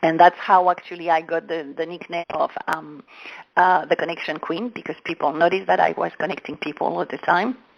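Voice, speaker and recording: Speaking at a fairly quick pace, a woman with a French accent keeps a fairly low pitch and fairly even intonation. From France. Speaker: business coach. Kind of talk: interview. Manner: halting.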